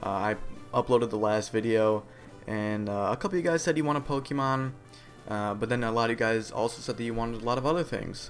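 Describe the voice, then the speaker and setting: A man mumbles quietly at a very fast pace in a medium pitch with ordinary pitch variation. Music plays in the background. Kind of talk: video game let's play commentary. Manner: quiet, somewhat mumbled.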